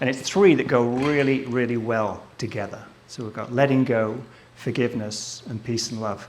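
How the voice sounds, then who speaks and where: There is audible room echo as a man of medium pitch speaks at a moderate pace with fairly even intonation. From England, Southport (Merseyside). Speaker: photographer and filmmaker. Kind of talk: live presentation to an audience. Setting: stage with audience. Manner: casual, hesitant with fillers.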